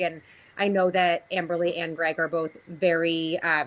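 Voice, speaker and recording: A woman's fairly low voice with a bright, sharp tone at a moderate pace. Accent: Boston. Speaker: resident speaking at public hearing. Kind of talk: public comment at town meeting.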